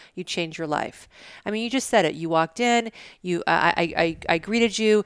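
Dry and close with no echo, a woman's ordinary speaking voice moves at a fairly quick pace at medium pitch with ordinary pitch variation. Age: 50s. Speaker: brand strategist and podcaster. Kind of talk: casual interview. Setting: at her home.

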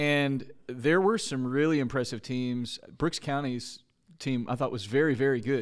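A man with an unremarkable speaking voice talks at a fairly slow pace. His pitch is medium, with ordinary variation. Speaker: podcast host. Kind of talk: casual interview chat.

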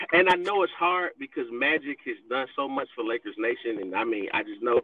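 This man talks at a moderate pace with lively intonation. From Miami, Florida. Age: 30s. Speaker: sports fan guest. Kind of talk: casual chat. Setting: remote call, pulled over in his vehicle.

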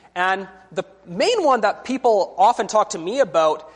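Someone with a Canadian accent speaks at a fairly slow pace. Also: man. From British Columbia, Canada. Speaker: visiting preacher. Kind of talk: sermon.

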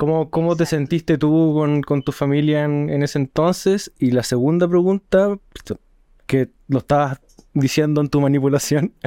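A man with a Chilean accent and a dark, mellow tone talks at a fairly high pitch and moderate pace, with fairly even intonation, very even loudness, and a dry, close sound with no echo. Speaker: podcast host. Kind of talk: casual chat.

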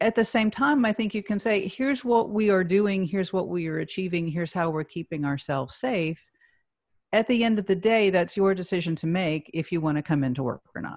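At a fairly quick pace, a woman talks in a normal speaking voice, medium in pitch with lively intonation. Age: 50s. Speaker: healthcare executive and leadership advisor. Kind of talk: interview.

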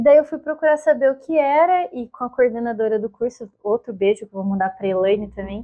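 This woman speaks at a fairly quick pace with a fairly high pitch, lively intonation, big swings in loudness and hardly any pauses. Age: 20s. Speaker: journalist. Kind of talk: casual chat.

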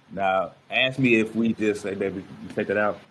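A man with an American accent and vocal fry. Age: 30s. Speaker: motivational speaker and podcast host. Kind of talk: casual chat.

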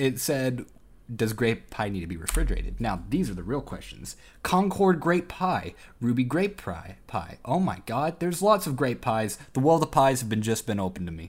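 A man speaks at a moderate pace with vocal fry and very wide pitch swings. The recording is very clean, with a silent background. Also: medium pitch for a man. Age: 20s. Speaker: podcast co-host. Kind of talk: casual chat. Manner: animated.

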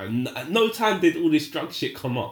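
The voice has very wide pitch swings. Vocal fry runs through it. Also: man. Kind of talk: casual banter chat, podcast.

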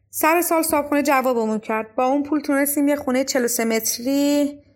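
Here a woman is talking at a moderate pace. Her pitch shifts in an ordinary way. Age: 30s. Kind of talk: scripted narration.

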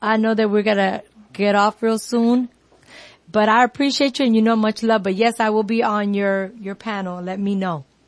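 At a moderate pace, a woman with an American accent uses a plain, everyday voice, pitched fairly high with fairly even intonation. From New York. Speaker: self-care coach. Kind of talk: casual radio chat. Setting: radio show.

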